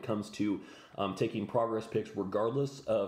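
Amid audible room echo, a man speaks with ordinary pitch variation. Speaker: fitness coach. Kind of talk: tutorial. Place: home room. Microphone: phone near.

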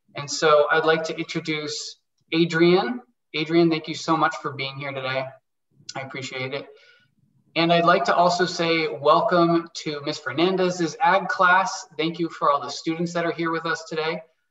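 Over a quiet background, a man speaks at a moderate pace with fairly even intonation and audible room echo. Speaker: webinar host. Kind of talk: event introduction. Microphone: video call.

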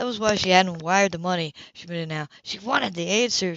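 The reading here comes in a natural voice.

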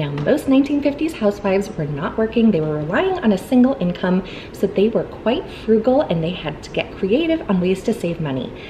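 Faint noise sits behind the voice. A woman talks at a medium speed. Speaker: home cleaning vlogger. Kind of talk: tutorial. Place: home room.

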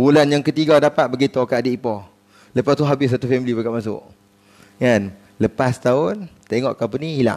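With a fairly quick pace, a man speaks and his pitch shifts in an ordinary way. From Kedah, Malaysia. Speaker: religious preacher; religious teacher. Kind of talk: sermon. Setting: mosque prayer hall with congregation. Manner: animated. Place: hall. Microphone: headset.

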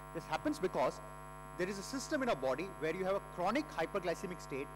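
Over noticeable background noise, a man with an Indian accent talks at a very fast pace. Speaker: endocrinologist. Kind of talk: conference lecture. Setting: stage with audience. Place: hall.

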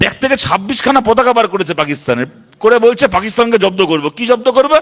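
Speaking in an animated tone, a man uses a high pitch and lively intonation. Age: 30s. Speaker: politician. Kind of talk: political rally speech.

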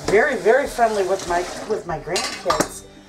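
Noticeable background noise accompanies a woman speaking at a moderate pace. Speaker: homestead vlogger. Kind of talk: casual vlog chat. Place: kitchen. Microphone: phone near.

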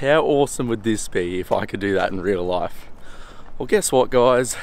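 The sound is dry and has no echo. The speaker is a man. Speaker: travel vlogger. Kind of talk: casual vlog chat. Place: waterside. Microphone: phone near.

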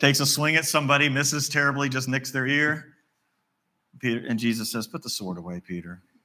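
At a very fast pace, a man with an Appalachian accent speaks in a bright, sharp tone with ordinary pitch variation. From West Virginia. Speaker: pastor. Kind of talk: sermon. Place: church.

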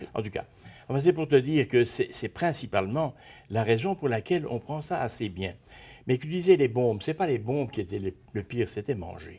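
A man speaks at medium pitch with very wide pitch swings and a moderate pace. His tone is dark, mellow and somewhat breathy. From Belgium (Brussels); Belgium. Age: 70s. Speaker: retired design teacher and visual artist; retired design teacher. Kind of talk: interview. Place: studio. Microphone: lapel.

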